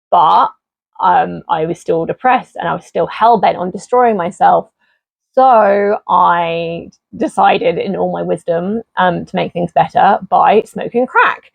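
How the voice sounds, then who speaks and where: A woman with an English accent at a fairly slow pace. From southeast England. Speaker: YouTuber. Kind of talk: personal testimony. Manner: casual, many fillers.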